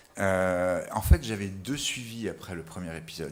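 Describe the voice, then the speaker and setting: This man has a very deep, low pitch and talks at a fairly quick pace. Room echo is audible. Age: 60s. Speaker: patient giving testimony. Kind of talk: testimony. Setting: webinar video call.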